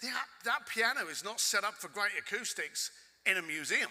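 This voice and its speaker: Animated and bright, sharp in tone, a man speaks at a fairly slow pace. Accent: London. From London, England. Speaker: keynote speaker. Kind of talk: storytelling keynote talk. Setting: stage with audience.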